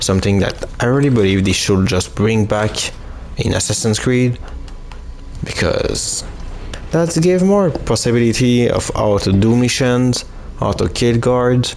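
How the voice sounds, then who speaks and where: A man with a non-native accent uses lively intonation and very even loudness, leaving long, frequent pauses. Audible room echo and noticeable background noise surround him. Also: medium pitch for a man. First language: not English. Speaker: gaming youtuber. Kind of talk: let's play commentary. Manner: halting.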